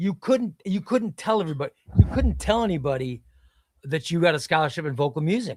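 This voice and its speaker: Someone with an American accent talks at a fairly quick pace with very wide pitch swings. The sound is dry and close with no echo, on a very clean recording with a silent background. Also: man. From Illinois (Chicago, then small downstate town). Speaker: comics streamer. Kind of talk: casual chat. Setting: live stream.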